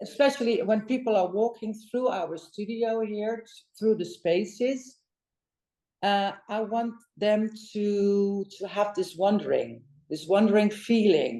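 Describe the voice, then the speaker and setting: With a Dutch accent, a woman speaks at a fairly slow pace. Her pitch is medium and her intonation fairly even. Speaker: interior designer. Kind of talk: interview conversation. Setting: design studio. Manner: halting, many fillers.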